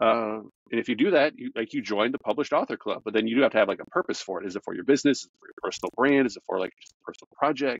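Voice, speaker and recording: A man speaks very fast in a dry, close sound with no echo. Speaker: podcast host. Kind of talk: podcast interview.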